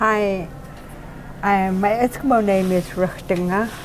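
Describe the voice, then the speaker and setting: A woman with an Alaskan accent over noticeable background noise. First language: Yupik. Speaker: retired teacher and doll maker. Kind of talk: interview. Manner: halting.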